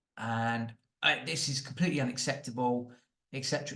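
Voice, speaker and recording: A man with a British accent speaks at a very fast pace, his pitch medium and his tone bright and sharp. The background is quiet. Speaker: property podcast host. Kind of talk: commentary monologue. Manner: animated.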